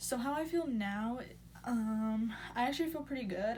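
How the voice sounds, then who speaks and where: Audible room echo surrounds a woman as she speaks. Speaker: vlogger, new mother. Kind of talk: casual story time vlog.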